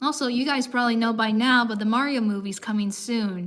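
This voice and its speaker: A woman talks at a moderate pace in a normal speaking voice. Her pitch is fairly high, with ordinary pitch variation. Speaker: streamer. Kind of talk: casual chat. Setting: live stream.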